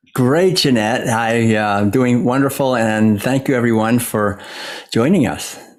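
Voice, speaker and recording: The speaker has an American accent and talks at a fairly slow pace with ordinary pitch variation. Audible room echo surrounds the voice. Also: man, medium pitch for a man. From US Northeast, Massachusetts. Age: 60s. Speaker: author and former monk. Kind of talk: interview.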